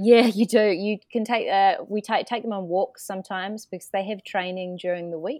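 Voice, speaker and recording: With a New Zealand accent, a woman speaks at a moderate pace and medium pitch, with hardly any pauses and fairly even intonation. Her loudness swings widely, and the sound is dry and close with no echo. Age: 30s. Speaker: event manager. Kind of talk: podcast interview. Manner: halting.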